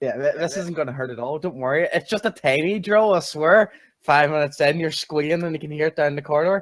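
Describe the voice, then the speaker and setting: A man with an Irish accent, fairly high-pitched, very fast, with ordinary pitch variation, in a dry, close sound with no echo. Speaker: community talk show co-host. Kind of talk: casual chat.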